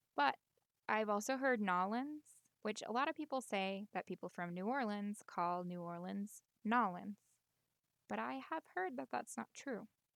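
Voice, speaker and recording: At a fairly slow pace, a woman talks in a medium pitch with very wide pitch swings, the sound dry and close with no echo. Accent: American. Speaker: medical interpreter. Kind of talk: casual pronunciation demo to camera.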